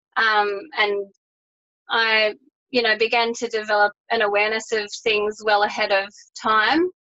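Slow and fairly high-pitched, a woman with an Australian accent has a bright, sharp tone, very even loudness and fairly even intonation, pausing long and often. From Australia, New South Wales. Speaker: holistic health business owner. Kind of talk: interview.

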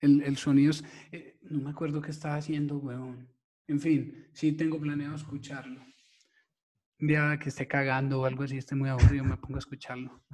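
Somewhat breathy and fairly high-pitched, a man speaks at a fairly quick pace in a flat monotone. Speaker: podcast host, digital marketing copywriter. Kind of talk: casual chat.

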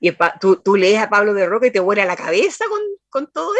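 The sound is dry and close with no echo. A woman speaks at a moderate pace with very wide pitch swings. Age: 60s. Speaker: poet. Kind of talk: interview. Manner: halting.

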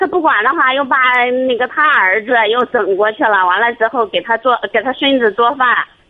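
Amid noticeable background noise, a woman with a high pitch speaks at a moderate pace, her loudness very even and her pitch varying in an ordinary way. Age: 30s. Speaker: caller seeking marriage advice. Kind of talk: phone-in advice call. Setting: phone call.

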